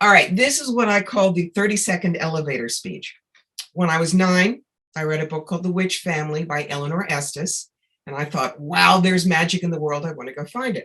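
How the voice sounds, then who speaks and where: Here is a woman with a plain, everyday voice. She talks at a fairly quick pace with a fairly low pitch and ordinary pitch variation. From New York. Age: 60s. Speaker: psychic medium. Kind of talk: interview.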